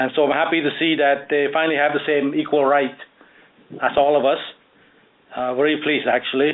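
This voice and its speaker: A man speaks in a Cambodian accent. His pitch is fairly high and his intonation fairly even. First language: Khmer. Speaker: author and landscape architect. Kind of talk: radio interview. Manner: hesitant, many fillers.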